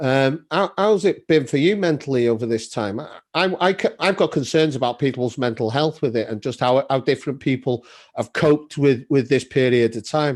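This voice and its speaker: An ordinary speaking voice from a man, at a moderate pace with ordinary pitch variation, over a quiet background. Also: fairly high pitch for a man. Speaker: podcast host. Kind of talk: casual podcast conversation.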